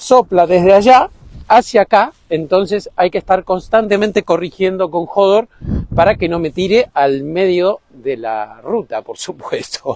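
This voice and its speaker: The man's voice sits high in pitch. He talks at a fairly slow pace. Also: ordinary pitch variation, dry, close sound with no echo. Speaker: travel vlogger. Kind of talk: vlog monologue. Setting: outdoors on the roadside.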